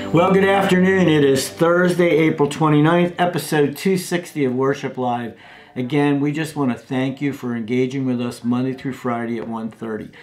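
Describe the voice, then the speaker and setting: Faint music plays in the background as a man talks at a moderate pace. He uses ordinary pitch variation and hardly any pauses. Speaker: ministry host. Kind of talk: show introduction. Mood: warm, cheerful. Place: office.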